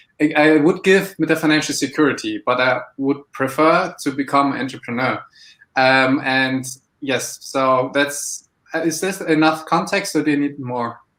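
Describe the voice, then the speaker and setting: A man with a German accent, fairly high in pitch. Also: fairly even intonation, moderate pace. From Germany. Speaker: aspiring entrepreneur. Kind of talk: live mentoring chat. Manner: halting, hesitant.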